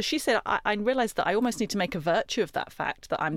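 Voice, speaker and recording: This woman talks at a very fast pace in a British accent, her pitch in the middle range. The recording is very clean, with a silent background. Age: 40s. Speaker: career coach and former journalist. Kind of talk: interview.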